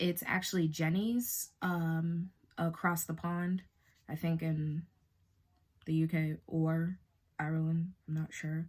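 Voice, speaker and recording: With an American accent, a woman speaks at a very slow pace in a monotone, flat intonation, her fairly low voice somewhat breathy and broken by long, frequent pauses. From Boston, Massachusetts. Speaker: beauty YouTuber. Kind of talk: makeup tutorial. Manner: casual, chatty.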